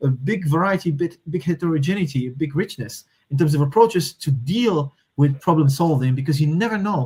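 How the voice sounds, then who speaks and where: A man's fairly high voice in a Moroccan accent. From Morocco. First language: Moroccan Arabic. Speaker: systems thinker and strategy consultant. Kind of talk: podcast interview. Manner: hesitant, many fillers and restarts.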